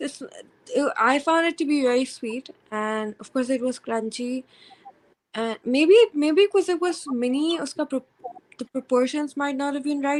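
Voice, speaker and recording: Soft-spoken and at a fairly slow pace, the voice carries ordinary pitch variation in a dry, close sound with no echo. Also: woman, high pitch for a woman. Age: 20s. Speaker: student. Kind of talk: interview answer.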